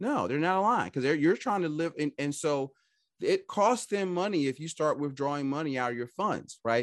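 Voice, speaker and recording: Speaking fairly quickly, a man with a normal speaking voice uses lively intonation at a fairly high pitch. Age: 50s. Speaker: financial advisor. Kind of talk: interview.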